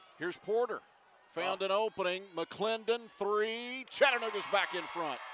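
A man speaks high for his range at a moderate pace with ordinary pitch variation, the sound dry with no echo and noticeable background noise behind him. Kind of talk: live sports commentary. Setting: basketball arena broadcast. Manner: rising energy on made shots. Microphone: headset.

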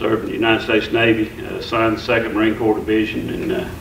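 A man is speaking, and noticeable background noise is audible. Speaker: county commissioner and navy veteran. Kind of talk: public meeting remarks. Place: meeting room. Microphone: camera far.

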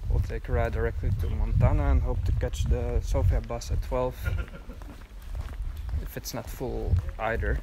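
Noticeable background noise runs through the clip. The speaking goes at a moderate pace. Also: man. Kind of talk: casual vlog chat. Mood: relaxed, slightly amused. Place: street. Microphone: phone near.

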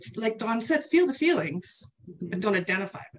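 A woman's lively intonation over light background noise. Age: 50s. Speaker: health and life coach; guest. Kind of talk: casual interview. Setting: live video stream. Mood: warm, reflective. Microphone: video call.

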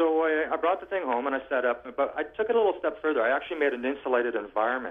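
A man rattles off words very rapidly, his pitch rising and falling in a typical way against a silent backdrop. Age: 40s. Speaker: medical cannabis grower. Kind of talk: casual chat. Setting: phone call. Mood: earnest, grateful. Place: studio.

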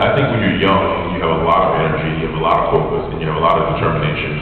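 A man speaks in a very deep, low voice. Strong room echo and light background noise surround it. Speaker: guest. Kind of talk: interview answer. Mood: candid, reflective. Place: hall. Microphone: pa.

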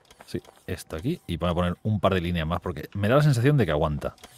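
With a very deep, low pitch, a man talks at a fairly quick pace and with lively intonation, the sound dry with no echo. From Spain, small town. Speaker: gaming YouTuber. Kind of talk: casual gaming chat. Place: home room. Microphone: studio mic.

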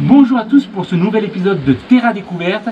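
A man's high-pitched voice with lively intonation over light background noise. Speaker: hiking channel host. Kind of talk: casual vlog intro. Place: tunnel cave.

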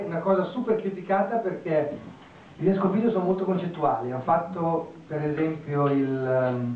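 A man speaks fairly quickly with ordinary pitch movement, and the room echo is audible. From Italy. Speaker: architect; architect lecturer. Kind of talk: lecture. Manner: halting. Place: classroom.

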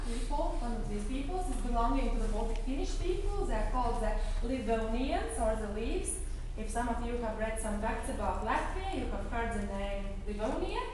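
A woman's high voice at a moderate pace with very wide pitch swings, strong room echo and noticeable background noise. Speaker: tour guide. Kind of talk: guided museum tour. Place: hall. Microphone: camera far.

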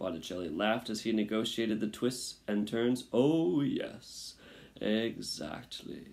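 The voice is plain reading aloud. Pitch varies in an ordinary way.

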